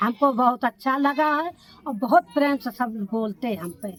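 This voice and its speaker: Dry and close with no echo, a woman's voice shows ordinary pitch variation. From Kanpur Dehat, Uttar Pradesh, India. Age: old. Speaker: adult literacy learner. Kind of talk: documentary interview answer.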